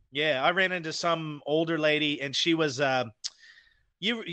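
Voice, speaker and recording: A man with an American accent and a plain, everyday voice speaks at a moderate pace with ordinary pitch variation. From Idaho, US. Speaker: guest, paranormal show host. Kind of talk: casual chat. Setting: remote call from New Zealand.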